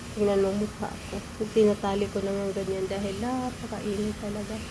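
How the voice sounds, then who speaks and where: A woman talks at a moderate pace. Her words carry noticeable background noise and audible room echo. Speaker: vlogger, domestic worker. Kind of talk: casual vlog chat. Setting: outdoors by swimming pool.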